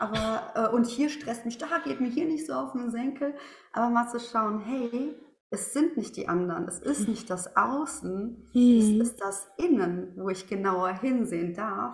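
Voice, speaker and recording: Amid noticeable background noise and audible room echo, a woman with a fairly high pitch speaks fairly slowly with lively intonation. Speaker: former teacher, now coach and speaker. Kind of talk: interview. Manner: animated.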